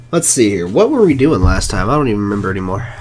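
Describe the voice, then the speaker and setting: The man's pitch swings very widely as noticeable noise fills the background. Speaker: gaming streamer. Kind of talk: live gameplay commentary. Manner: casual, animated.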